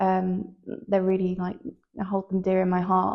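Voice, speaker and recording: A woman talks in a Manchester accent. Her pitch sits in the medium range. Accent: Manchester-area northern English. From near Manchester, northern England. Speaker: fashion model. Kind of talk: interview. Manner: loud; hesitant, many fillers.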